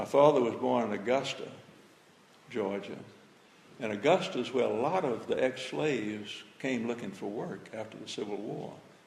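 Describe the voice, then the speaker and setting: A man at a moderate pace with lively intonation and long, frequent pauses, amid noticeable background noise and audible room echo. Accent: Southern US. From Birmingham, Alabama. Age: 80s+. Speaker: retired pastor speaking on civil rights history. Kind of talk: talk to high school students.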